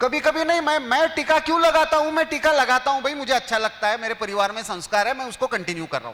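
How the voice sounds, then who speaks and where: A man speaks in a Marathi accent with a raised, projected voice. His pitch is extremely high, and his intonation is lively. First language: Marathi (speaking Hindi). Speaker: newspaper editor, speaker. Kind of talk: lecture. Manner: conversational, asks audience questions.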